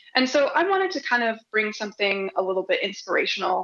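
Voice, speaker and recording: A woman with a Nebraska accent and a bright, sharp tone. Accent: Midwestern American (Nebraska). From US Midwest (Omaha, Nebraska). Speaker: software developer, conference speaker. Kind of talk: conference talk.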